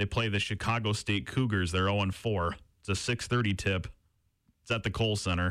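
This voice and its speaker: On a very clean recording with a silent background, a man talks in an unremarkable speaking voice. His pitch is fairly low and his intonation fairly even. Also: fairly quick pace. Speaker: college radio sports co-host. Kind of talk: sports talk show. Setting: radio studio.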